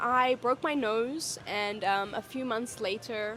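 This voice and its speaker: Fairly high-pitched female speech against noticeable background noise. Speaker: vlogger and teacher. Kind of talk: casual vlog talk.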